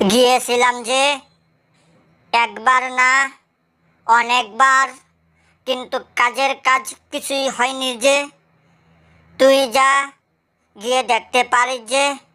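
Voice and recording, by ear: In a cartoonish character voice, a woman speaks high in pitch with monotone, flat intonation. Her pace is fairly slow.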